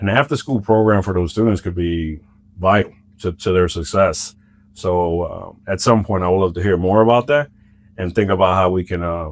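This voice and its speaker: A man speaks at a moderate pace with a very deep, low pitch and ordinary pitch variation, recorded very cleanly against a silent background. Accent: slight Spanish. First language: Spanish. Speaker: school district administrator. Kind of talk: podcast interview.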